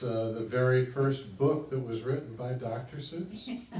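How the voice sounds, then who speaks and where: Fairly slow speech from a man against noticeable background noise. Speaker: event emcee. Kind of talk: live event emcee talk. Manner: casual, joking.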